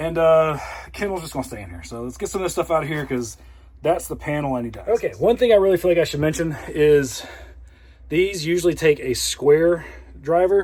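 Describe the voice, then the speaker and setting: Speaking at a fairly quick pace, a man with a fairly high pitch and ordinary pitch variation shows big swings in loudness. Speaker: RV owner vlogger. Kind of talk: tutorial. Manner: fast.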